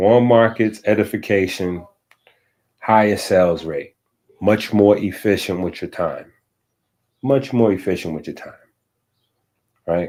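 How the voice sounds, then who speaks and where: The background is silent and the recording very clean. A man's fairly low voice shows ordinary pitch variation. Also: fairly slow pace. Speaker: livestream host. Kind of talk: casual livestream talk. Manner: slow; halting.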